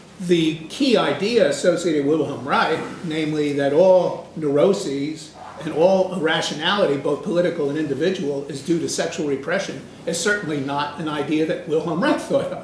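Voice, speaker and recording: A man speaks at a high pitch with ordinary pitch variation. Audible room echo and noticeable background noise fill the recording. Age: old. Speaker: retired professor lecturing at a conference. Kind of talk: lecture. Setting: conference room with audience. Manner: fast.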